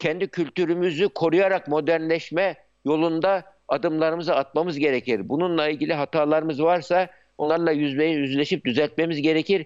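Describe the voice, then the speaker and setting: Recorded with a quiet background and a dry, close sound with no echo, a man speaks at a moderate pace in a fairly high voice with fairly even intonation. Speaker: psychiatrist and university founder. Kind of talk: live TV news interview. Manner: halting, many filler sounds.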